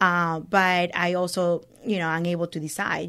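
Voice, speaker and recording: This woman has a fairly low voice and a monotone, flat intonation. The recording is very clean, and the background is silent. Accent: Spanish. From Venezuela. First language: Spanish. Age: 30s. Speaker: business owner. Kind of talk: casual interview. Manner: laughs often.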